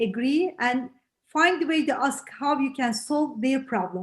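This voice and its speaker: The speaker has a strong non-native accent and talks at a fairly slow pace. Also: woman. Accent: heavy foreign. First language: not English. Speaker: real estate agent. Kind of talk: role-play feedback in online session. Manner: halting.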